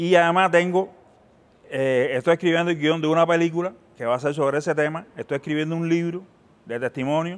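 A man talks at a fairly quick pace in a high voice. His intonation stays fairly even. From Cuba. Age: 50s. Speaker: filmmaker and former war correspondent; former war correspondent. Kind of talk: interview. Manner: halting, many fillers and repetitions. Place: hall. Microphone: lapel.

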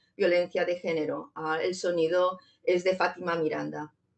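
A woman at a moderate pace. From Zamora, Spain. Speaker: poet and digital artist. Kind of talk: poetry reading and artist talk, playful explanatory commentary. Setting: video conference. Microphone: video call.

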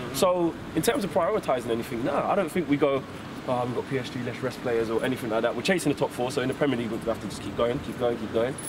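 A man rattles off his words very fast against clearly audible background noise. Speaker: football fan pundit. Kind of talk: post-match fan interview. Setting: outside stadium after match. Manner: animated.

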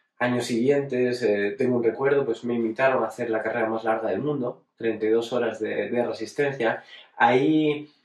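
At a moderate pace, the speaker talks with fairly even intonation against a quiet background, with audible room echo. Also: man. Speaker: racing driver. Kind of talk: personal retrospective monologue. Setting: at home. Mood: calm, reflective. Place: home room.

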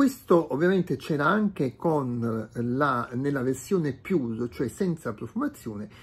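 Somewhat breathy, a man talks at a fairly slow pace with lively intonation and hardly any pauses. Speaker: product reviewer. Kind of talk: unboxing video. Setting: home room, natural light. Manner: hesitant, many filler sounds. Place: home room. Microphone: phone near.

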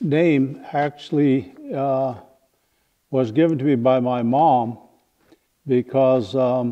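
With an American accent, a man talks at a very slow pace with ordinary pitch variation and long, frequent pauses. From Lake County, California. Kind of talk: interview answer. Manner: casual, hesitant. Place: hall.

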